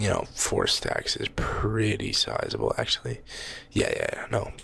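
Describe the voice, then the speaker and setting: Someone soft-spoken talks at a fairly slow pace. Noticeable background noise runs underneath. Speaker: ASMR gaming creator. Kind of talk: soft-spoken ASMR gameplay commentary. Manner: repeats phrases, occasional fake stutter.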